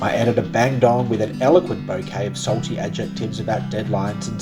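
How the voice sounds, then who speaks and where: Over music in the background, a man talks fairly quickly at a medium pitch. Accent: Australian. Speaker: spoken word writer and narrator, travel storyteller. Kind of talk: spoken word narration, first-person travel story over music. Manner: reflective, literary, measured.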